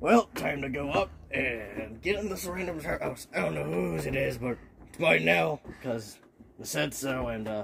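A man puts on a cartoonish character voice at a medium pitch, with very wide pitch swings. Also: moderate pace. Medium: puppet.

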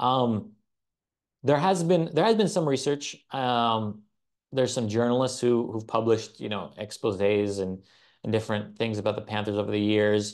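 Against a quiet background, a man with a General American accent speaks at a moderate pace in a medium pitch with ordinary variation. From United States and Israel, Iraqi and Bulgarian family. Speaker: journalist and author. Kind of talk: interview conversation. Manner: hesitant, many fillers and restarts. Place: studio.

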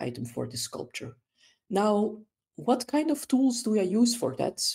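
A woman speaks at a moderate pace with a Dutch accent. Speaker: volunteer wiki editor. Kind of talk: tutorial.

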